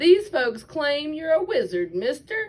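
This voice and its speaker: A woman puts on a character voice at a high pitch with very wide pitch swings. Her pace is fairly slow. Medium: read story.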